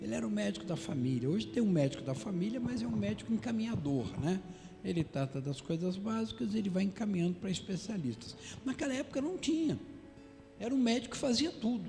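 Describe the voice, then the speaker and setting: Amid audible room echo and noticeable background noise, a man talks at a very fast pace in a high voice with very wide pitch swings. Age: 60s. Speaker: pastor. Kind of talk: sermon. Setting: church.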